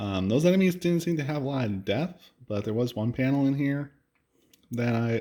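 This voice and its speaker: On a very clean recording with a silent background, a soft-spoken man talks at a moderate pace. His tone is dark and mellow, with lively intonation. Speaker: comic book reviewer. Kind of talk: casual review. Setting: at home late at night. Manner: halting, many fillers.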